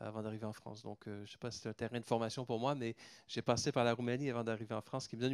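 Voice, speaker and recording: Speaking with a Canadian French accent, a man holds a medium pitch. His intonation stays monotone and flat. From Canada. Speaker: pharmaceutical company executive. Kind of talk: round table talk. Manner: hesitant, many fillers and repetitions.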